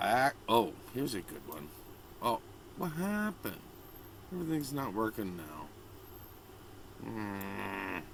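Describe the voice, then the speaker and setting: A man speaks at a fairly slow pace with long, frequent pauses, very wide pitch swings and big swings in loudness. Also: medium pitch for a man. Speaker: political commentary vlogger. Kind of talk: casual chat.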